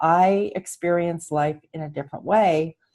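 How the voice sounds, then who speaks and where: A woman with an unremarkable speaking voice talks fairly slowly at a fairly low pitch with ordinary pitch variation. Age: 60s. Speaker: author and show host. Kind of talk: casual conversation about her own writing.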